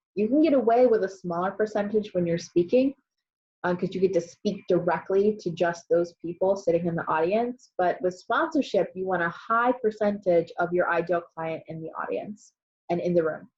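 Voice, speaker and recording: Somewhat breathy, a woman speaks at a medium pitch. Her pitch variation is ordinary. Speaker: business coach. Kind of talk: live webinar presentation. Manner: fast.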